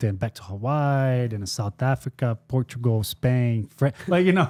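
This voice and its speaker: A man's dark, mellow voice at medium pitch, with a non-native accent, ordinary pitch variation, a fairly slow pace, and a dry, close sound with no echo. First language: not English. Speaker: podcast host. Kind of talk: casual chat.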